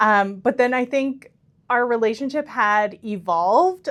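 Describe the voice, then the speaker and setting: Her pitch varies in an ordinary way as the woman talks very slowly. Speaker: podcast host and agency owner. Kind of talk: casual podcast chat. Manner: loud.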